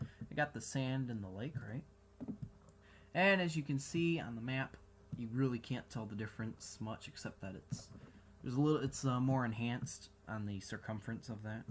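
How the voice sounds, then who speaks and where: With an American accent, a man's somewhat breathy voice comes through. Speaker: gaming video reviewer. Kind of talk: gameplay commentary. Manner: animated.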